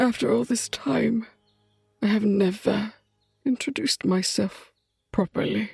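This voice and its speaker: A female-sounding put-on character voice at medium pitch moves at a moderate pace with long, frequent pauses. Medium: audio drama. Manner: solemn, formal.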